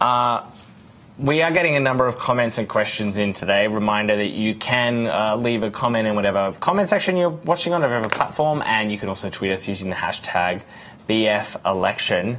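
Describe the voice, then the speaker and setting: Noticeable background noise runs behind a man's voice. He talks at a fairly quick pace with lively intonation. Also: medium pitch for a man. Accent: Australian. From Australia. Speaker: news livestream host. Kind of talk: live election night panel discussion.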